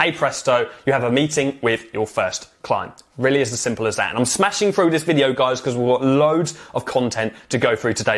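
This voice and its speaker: A man with a fairly high voice speaks at a fairly quick pace in an animated tone, with ordinary pitch variation. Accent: British. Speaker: business coach. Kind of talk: tutorial. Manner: fast.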